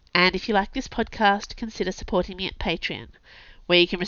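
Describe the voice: The text is read out plainly. Nothing more than reading aloud is heard.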